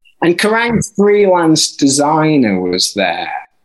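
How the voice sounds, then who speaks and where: A man with a Yorkshire accent speaks at a fairly high pitch. His pitch swings very widely, and his pace is fairly slow. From northern England, Barnsley. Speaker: author and music journalist. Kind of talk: interview. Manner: halting.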